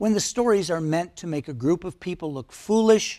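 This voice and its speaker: The speaker has a Midwestern American accent, and the recording is very clean with a silent background. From US Midwest, Detroit, Michigan. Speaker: video essayist. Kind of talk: personal commentary.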